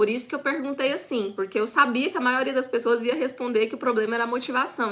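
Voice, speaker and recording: With a bright, sharp tone, a woman speaks at a high pitch with ordinary pitch variation. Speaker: online business course instructor. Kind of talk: live online class. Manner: fast.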